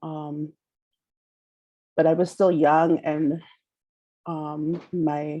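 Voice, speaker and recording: With a dark, mellow tone, the woman speaks in a fairly low register. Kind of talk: presentation. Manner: halting, many fillers.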